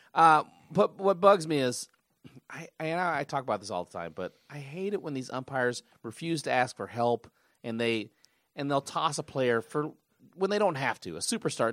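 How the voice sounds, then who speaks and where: Speaking at a moderate pace, a man uses a fairly high pitch with very wide swings. The sound is dry and close with no echo, on a very clean recording with a silent background. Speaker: podcast co-host. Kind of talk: casual chat.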